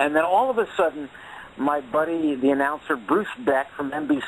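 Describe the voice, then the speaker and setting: With an ordinary speaking voice, a man talks at a moderate pace and a fairly high pitch, using ordinary pitch variation. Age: 60s. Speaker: boxing commentator and former commissioner. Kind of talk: phone-in interview.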